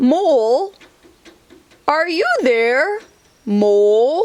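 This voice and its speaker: A high-pitched, put-on character voice. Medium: read story. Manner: slow, sleepy, gentle.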